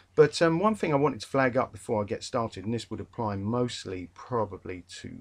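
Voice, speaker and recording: A man with a London accent talks at a fairly quick pace in a medium pitch. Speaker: English literature tutor. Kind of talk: revision lecture. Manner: casual, hesitant with fillers.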